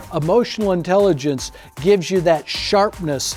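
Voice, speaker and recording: Music plays behind a man speaking at a moderate pace. His pitch is high, with ordinary variation. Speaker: keynote speaker on leadership and emotional intelligence. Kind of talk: keynote speech to an audience. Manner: high-energy, motivational.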